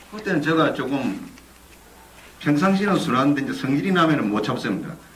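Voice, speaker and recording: Over noticeable background noise and audible room echo, a man with a fairly high pitch talks at a moderate pace, his voice making very wide pitch swings. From South Korea, Busan. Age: 60s. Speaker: whistleblower, former union leader. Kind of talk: testimony.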